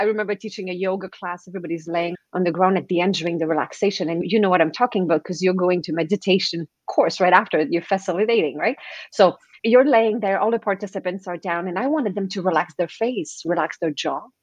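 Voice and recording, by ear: A woman talks fast at a fairly low pitch, her voice showing ordinary pitch variation and a slightly husky edge.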